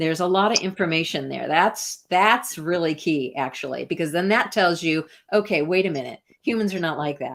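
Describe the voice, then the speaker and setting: A woman with an American accent speaks at a fairly quick pace in a fairly low pitch, using an unremarkable speaking voice with ordinary pitch variation on a very clean recording with a silent background. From US Midwest, Iowa. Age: 60s. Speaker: artist and researcher. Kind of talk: interview conversation.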